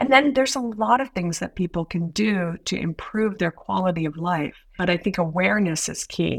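A woman's unremarkable speaking voice at medium pitch, moderate in pace, lively in intonation and with hardly any pauses. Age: 60s. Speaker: women's health nurse practitioner. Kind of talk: podcast interview.

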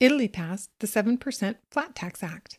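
Recorded very cleanly against a silent background with a dry, close sound and no echo, a woman uses an ordinary speaking voice at a medium pitch with ordinary pitch variation. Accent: American. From US Pacific Northwest. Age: 60s. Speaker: podcast host. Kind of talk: scripted narration; casual interview.

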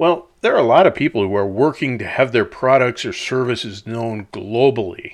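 The speaker has an Upper Midwest accent. The background is quiet. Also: man. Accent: Upper Midwest American. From US Upper Midwest (La Crosse, Wisconsin). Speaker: podcast host, commentator. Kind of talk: reflective monologue. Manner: conversational, folksy.

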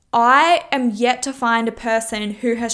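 A woman speaks at a fairly high pitch with fairly even intonation. The recording is very clean, with a silent background. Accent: Australian. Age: 20s. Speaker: personal trainer and podcast host. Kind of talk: casual monologue.

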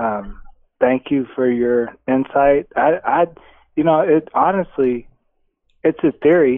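This man has a normal speaking voice at a medium pitch. He talks at a fairly slow pace. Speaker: caller. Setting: phone call.

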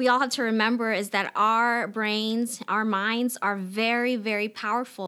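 Her tone is bright and sharp, and a woman keeps to a fairly slow pace. The recording is very clean, with a silent background. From Philippines. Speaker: school principal and educator. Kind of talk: casual interview chat.

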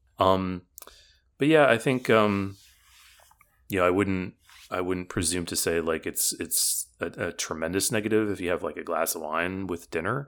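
At a moderate pace with ordinary pitch variation, the speaker leaves long, frequent pauses in a very clean recording with a silent background. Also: man, very deep, low pitch for a man. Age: 40s. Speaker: test prep tutor. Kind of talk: casual interview.

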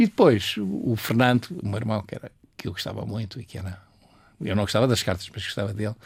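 Somewhat breathy, a man talks at a very fast pace. His pitch is fairly low, with ordinary variation. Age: 80s+. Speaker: painter and retired art teacher. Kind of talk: interview. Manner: halting, with repetitions.

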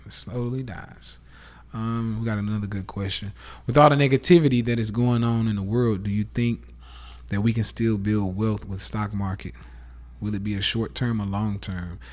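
In a Southern US accent, a man speaks at a moderate pace. His pitch sits fairly low. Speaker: podcast host, live streamer. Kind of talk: casual rant monologue. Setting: Instagram live stream. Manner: animated.

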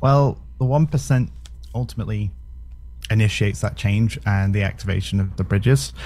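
A man with a British accent speaks in a dark, mellow, somewhat breathy tone at a fairly low pitch, with very wide pitch swings at a moderate pace. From Britain. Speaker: crypto project representative. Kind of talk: casual interview.

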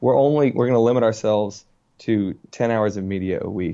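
A man's medium-pitched voice, dark and mellow in tone, with ordinary pitch variation and a fairly quick pace. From Richmond, Virginia. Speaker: author. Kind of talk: casual interview.

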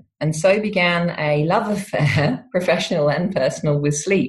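A somewhat breathy woman talks at a moderate pace with ordinary pitch variation. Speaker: university professor in psychology. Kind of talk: interview.

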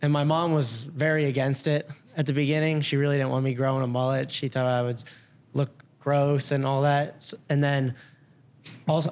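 This man, with an American accent, has a fairly high pitch and a monotone, flat intonation. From Ohio, Loveland. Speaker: college basketball walk-on player. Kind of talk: casual chat.

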